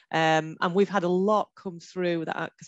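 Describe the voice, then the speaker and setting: Female voice with a Hull accent, monotone and flat at a moderate pace, dry and close with no echo. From northern England, Hull. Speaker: heritage consultant in women's sport. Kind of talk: panel discussion. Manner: hesitant, many fillers.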